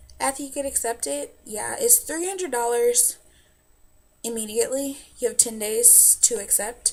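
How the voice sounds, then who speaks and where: The speaker has an American accent. She is a woman. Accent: southern US, stronger when nervous. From US South. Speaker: vlogger. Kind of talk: casual vlog advice. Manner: animated.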